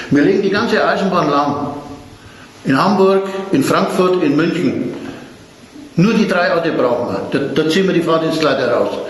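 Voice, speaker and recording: A man with a high voice speaks at a moderate pace. Audible room echo and noticeable background noise surround him. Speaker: retired railway trade unionist. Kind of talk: oral history interview.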